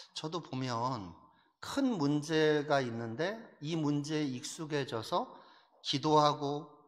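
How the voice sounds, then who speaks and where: With ordinary pitch variation, the man's voice sits at a fairly high pitch. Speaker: pastor. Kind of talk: sermon. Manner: rough, forceful; animated.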